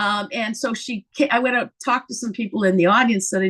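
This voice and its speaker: A woman's fairly quick speech. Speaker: stand-up comic and comedy teacher. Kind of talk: interview. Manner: animated.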